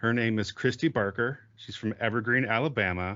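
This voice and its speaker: Ordinary pitch variation shapes a man's speech. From US West Coast. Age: 30s. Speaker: podcast host. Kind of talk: casual podcast interview.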